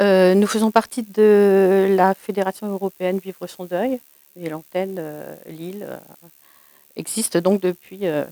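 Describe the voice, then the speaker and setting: A woman's medium-pitched voice at a very slow pace, dry and close with no echo. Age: 60s. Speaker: bereavement support volunteer. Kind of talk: interview testimony. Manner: hesitant, many fillers.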